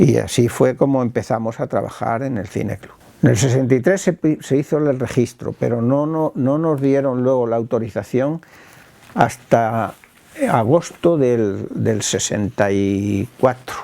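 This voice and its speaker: A man speaks at a fairly slow pace. There is noticeable background noise behind him. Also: medium pitch for a man, ordinary pitch variation. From Spain, Talavera de la Reina (Castile). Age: 70s. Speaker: film club founder. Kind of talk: interview testimony. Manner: halting, with repetitions.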